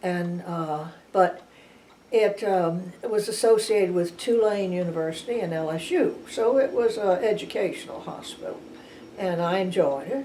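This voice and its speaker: In a New Orleans accent, a woman speaks at a moderate pace in a medium pitch with ordinary pitch variation. Audible room echo surrounds her voice. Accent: New Orleans Southern US. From New Orleans, Louisiana. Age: 90s. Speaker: retired nurse. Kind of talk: oral history interview. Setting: at her home. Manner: halting, many restarts.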